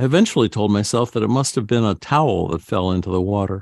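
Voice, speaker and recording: A man talks with a normal speaking voice, fairly low in pitch. His pace is fairly quick, with ordinary pitch variation. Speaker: radio host. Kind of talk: reading aloud. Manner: formal.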